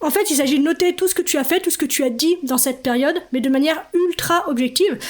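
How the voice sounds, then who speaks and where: A woman speaks with ordinary pitch variation. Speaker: podcast host and life coach. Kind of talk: solo podcast talk. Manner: fast.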